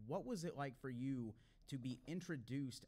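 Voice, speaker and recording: With ordinary pitch variation, a man keeps to a moderate pace. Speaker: podcast host. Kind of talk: interview questions. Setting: live stage. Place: hall. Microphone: studio mic.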